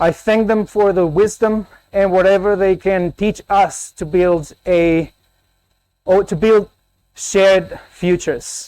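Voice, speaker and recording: Speaking very slowly with a Spanish accent, a man uses a high pitch, fairly even intonation, and a dark, mellow tone. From Colombia. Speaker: academic keynote speaker. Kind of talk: conference keynote.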